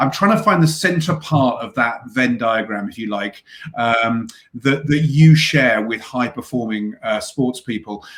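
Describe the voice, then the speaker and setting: A man with a British accent, fairly slow and lively in intonation, amid noticeable background noise. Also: medium pitch for a man. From UK. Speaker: podcast host. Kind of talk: interview. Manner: hesitant, many fillers.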